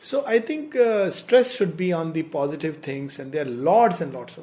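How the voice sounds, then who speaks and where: A man speaks with lively intonation while noticeable background noise is heard. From India. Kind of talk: discussion.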